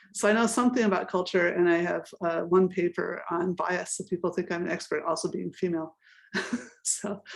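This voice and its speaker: Speaking at a fairly quick pace, a woman with an American accent has a normal speaking voice. Her pitch is fairly low and her intonation fairly even. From United States. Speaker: professor. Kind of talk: panel discussion.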